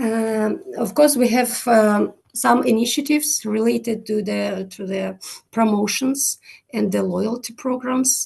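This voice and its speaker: A woman talks in a fairly high, somewhat breathy voice. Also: ordinary pitch variation, fairly slow pace. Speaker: head of customer experience at a car company. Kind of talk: conference presentation and Q&A. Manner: hesitant, many fillers.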